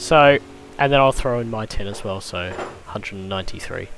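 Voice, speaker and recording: A man speaks at a fairly quick pace and a medium pitch. Noticeable background noise runs underneath. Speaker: sim racing commentator. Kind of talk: live commentary. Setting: live stream.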